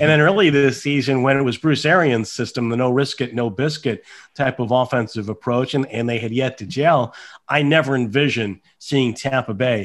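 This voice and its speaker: An ordinary speaking voice from a man at medium pitch, fairly quick pace and ordinary pitch variation, over a quiet background. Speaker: NFL team radio play-by-play announcer. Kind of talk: sports interview answer.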